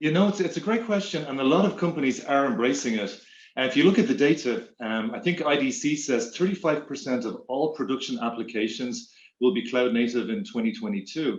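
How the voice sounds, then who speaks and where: In an Irish accent, a man talks at a fairly quick pace. His fairly high voice makes very wide pitch swings. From Ireland. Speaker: tech executive. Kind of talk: interview.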